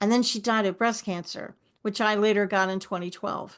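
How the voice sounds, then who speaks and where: A woman with a New York accent speaks at a moderate pace in a fairly high pitch with fairly even intonation over a quiet background. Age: 60s. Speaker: forgiveness coach. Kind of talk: podcast interview.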